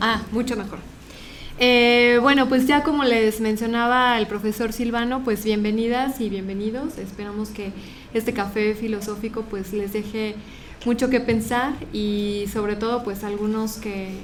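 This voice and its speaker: A woman's fairly high, monotone voice with flat intonation, at a fairly slow pace, amid noticeable background noise and audible room echo. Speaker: philosophy lecturer, head of program. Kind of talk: lecture to audience.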